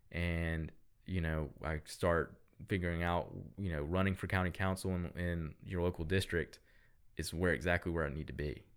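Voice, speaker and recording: A man's very deep, low voice in a Southern US accent, moderate in pace with fairly even intonation, on a very clean recording with a silent background. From US South, upstate South Carolina (Greenville). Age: 20s. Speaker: political candidate and business owner. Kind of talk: podcast interview. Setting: recording studio.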